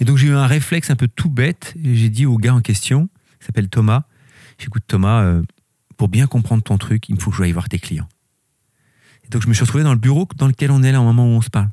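In a very clean recording with a silent background and a dry, close sound with no echo, a man speaks at a fairly quick pace with long, frequent pauses, a medium pitch, ordinary pitch variation, and a dark, mellow, somewhat breathy tone. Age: 50s. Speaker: company director. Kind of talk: interview. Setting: company workshop.

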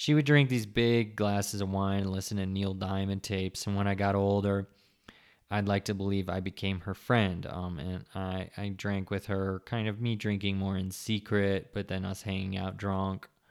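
A man mumbles in a fairly low pitch with monotone, flat intonation. The recording is very clean, with a silent background. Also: moderate pace. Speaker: podcast host on sobriety. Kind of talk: casual solo monologue. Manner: mumbling.

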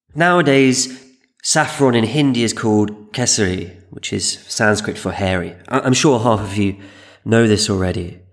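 A plain, everyday voice from a man, medium in pitch, with ordinary pitch variation at a moderate pace. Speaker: podcast host and history narrator. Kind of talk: scripted history documentary narration, storytelling. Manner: measured, wry, dryly humorous; calm, steady, explanatory.

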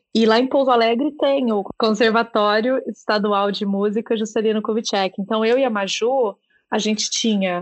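Here a woman speaks in an ordinary speaking voice with a fairly high pitch. Her intonation is fairly even. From Brazil, Minas Gerais. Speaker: book podcast co-host. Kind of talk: casual interview chat.

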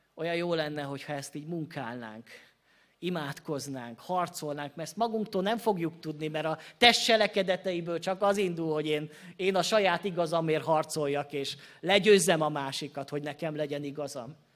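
At a moderate pace, a man with a fairly high pitch and ordinary pitch variation speaks in a plain, everyday voice, recorded very cleanly with a silent background. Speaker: Baptist pastor. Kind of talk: sermon. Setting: church.

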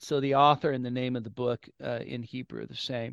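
Here a man speaks in a West Coast US accent. The background is quiet and the sound is dry and close, with no echo. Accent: General American (West Coast). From California. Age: 50s. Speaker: pastor and author. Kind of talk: interview.

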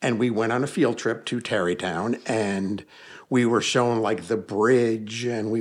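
Speaking at a moderate pace in a normal speaking voice, a man with a medium-pitched voice talks with an American accent. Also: very clean recording, silent background. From US Northeast (Hudson Valley, New York). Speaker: paranormal investigator and author. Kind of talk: casual interview. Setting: in person, home basement.

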